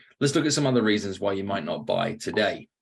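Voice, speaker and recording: Over a quiet background, a man with a British accent talks at a very fast pace in a fairly low pitch. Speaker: sales trainer and author. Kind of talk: podcast interview with sales role-play.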